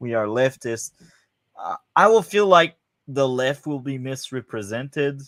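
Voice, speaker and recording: A man with a French accent, medium pitch and a fairly slow pace. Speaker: podcast host. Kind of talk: casual chat. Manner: hesitant, many fillers.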